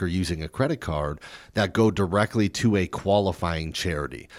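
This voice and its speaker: A man's ordinary speaking voice at a fairly quick pace, with ordinary pitch variation and a very clean recording with a silent background. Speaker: financial advisor. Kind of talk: radio show chat.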